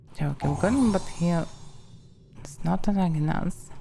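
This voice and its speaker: A woman with a Russian accent talks at a very slow pace. Music plays in the background. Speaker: streamer. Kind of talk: casual gameplay commentary.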